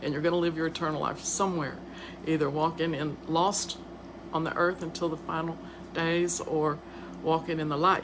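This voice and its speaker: With a Southern US accent, a woman speaks at a fairly low pitch in monotone, flat intonation and a moderate pace. There are long, frequent pauses and audible room echo. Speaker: podcast host and author. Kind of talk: casual live-stream monologue. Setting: live video stream. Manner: stuttering, halting.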